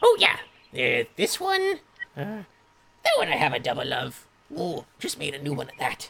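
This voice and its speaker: Using a put-on character voice, a man talks at a moderate pace with long, frequent pauses and big swings in loudness. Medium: actual play. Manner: slow, absent-minded, doddering.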